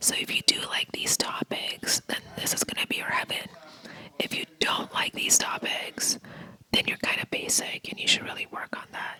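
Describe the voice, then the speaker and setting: Whispering at a moderate pace, the voice is accompanied by noticeable background noise. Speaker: vlogger. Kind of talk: casual vlog narration.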